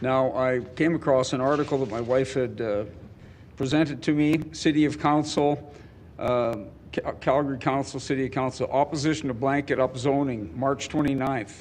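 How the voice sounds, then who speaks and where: Here is an ordinary speaking voice at a moderate pace with fairly even intonation. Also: man, medium pitch for a man. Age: 60s. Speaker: public hearing speaker, landlord. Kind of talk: public testimony.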